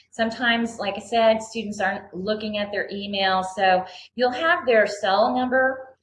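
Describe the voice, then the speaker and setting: A woman speaks at a fairly high pitch and a moderate pace, somewhat breathy, with hardly any pauses. Her pitch varies in an ordinary way, and room echo is audible. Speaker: mentoring program coordinator. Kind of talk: online presentation. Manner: halting, many fillers.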